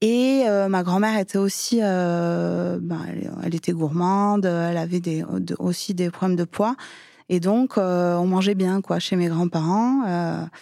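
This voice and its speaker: Dark and mellow in tone, a woman at a fairly low pitch speaks at a very slow pace with ordinary pitch variation, on a very clean recording with a silent background. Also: very even loudness. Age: 30s. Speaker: schoolteacher sharing personal story. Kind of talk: testimony. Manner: hesitant, many fillers.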